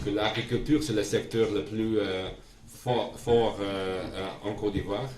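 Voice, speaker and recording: A man with a Dutch accent, fairly low in pitch, at a fairly slow pace with fairly even intonation, amid noticeable background noise and audible room echo. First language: Dutch (speaking French). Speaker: diplomat. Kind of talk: formal speech to community. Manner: halting, many hesitations.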